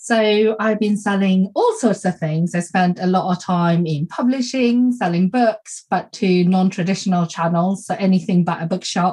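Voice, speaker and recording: Somewhat breathy and dark and mellow in tone, a woman talks at a moderate pace with hardly any pauses. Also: medium pitch for a woman, ordinary pitch variation. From Sweden. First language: Swedish. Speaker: small business coach and podcast host. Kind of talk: casual chat. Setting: video call.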